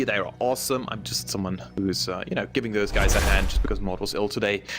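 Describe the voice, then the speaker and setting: A man with a German accent at a fairly quick pace, over noticeable background noise. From Germany. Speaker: esports caster. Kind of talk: live commentary. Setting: live stream.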